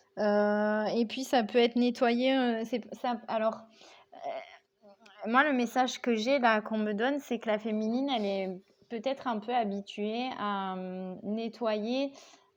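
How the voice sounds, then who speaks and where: A woman speaks very slowly in a fairly high voice, with ordinary pitch variation. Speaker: tarot card reader. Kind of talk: tarot reading. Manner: hesitant, many fillers.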